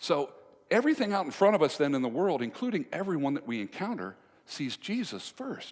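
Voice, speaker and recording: A man with a high pitch speaks with very wide pitch swings. The recording is very clean, with a silent background. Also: fairly quick pace. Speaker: motivational speaker on communication and relationships. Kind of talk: live speech to an audience, storytelling. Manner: conversational, humorous, engaging.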